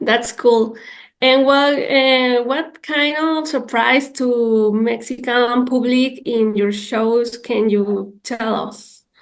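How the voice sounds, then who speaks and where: Delivered at a very slow pace, the speech carries a Spanish accent and fairly even intonation. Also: woman, high pitch for a woman. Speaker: interviewer. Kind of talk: interview.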